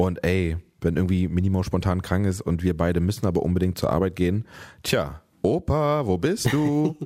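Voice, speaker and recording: Very deep and low, a man's voice moves at a moderate pace with lively intonation and very even loudness in a very clean recording with a silent background. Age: 30s. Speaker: podcast host, father of a toddler. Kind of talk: casual chat. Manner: animated.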